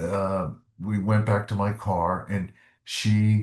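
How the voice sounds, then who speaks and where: The speaker, a man, has an American accent. There's a somewhat breathy quality to his voice. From US South. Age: 70s. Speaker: retired doctor, ex-smoker. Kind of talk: interview testimony. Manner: halting.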